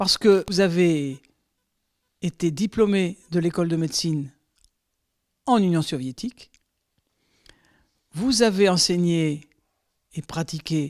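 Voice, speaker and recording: The speaker goes at a very slow pace, with long, frequent pauses. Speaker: interviewer. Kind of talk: interview questions.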